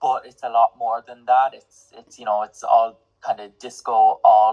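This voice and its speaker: A man with an Irish accent talks at a moderate pace, the sound dry and close with no echo. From Ireland. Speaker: singer-songwriter and music student. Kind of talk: interview.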